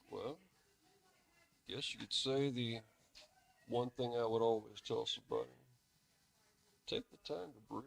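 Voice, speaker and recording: A man with a Southern US accent, his loudness swinging widely, with long, frequent pauses. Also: moderate pace. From US South, Mobile, Alabama. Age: 40s. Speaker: artist. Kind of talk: casual interview chat.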